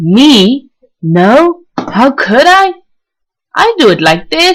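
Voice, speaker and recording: Using a put-on character voice, a woman speaks in a high pitch with very wide pitch swings. She talks at a very slow pace. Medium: read story.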